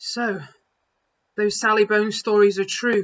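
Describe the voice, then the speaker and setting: A female-sounding voice puts on a character voice. It sits at a medium pitch and moves at a moderate pace. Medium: read story.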